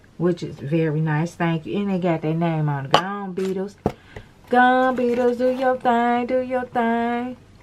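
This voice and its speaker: There is noticeable background noise as a woman at medium pitch talks at a moderate pace, her intonation lively and her tone animated. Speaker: nail tutorial creator. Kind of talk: tutorial.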